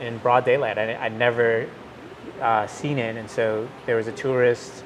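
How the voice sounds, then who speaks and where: With an American accent, a man speaks at a moderate pace and a medium pitch, his intonation monotone and flat. Noticeable background noise runs underneath. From Milwaukee, Wisconsin. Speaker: technology executive. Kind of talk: interview conversation. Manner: halting, many fillers.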